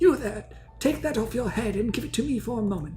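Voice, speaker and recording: Clear music plays in the background behind a put-on character voice. The voice sits fairly high in pitch and moves at a fairly quick pace. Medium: game stream. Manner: curt, brusque.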